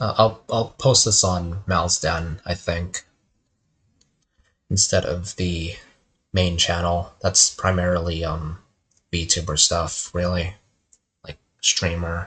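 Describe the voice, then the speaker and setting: Over a quiet background, a man with a very deep, low pitch speaks very slowly in a monotone, flat intonation, with long, frequent pauses. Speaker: game developer and streamer. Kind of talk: casual monologue. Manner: rambling, halting.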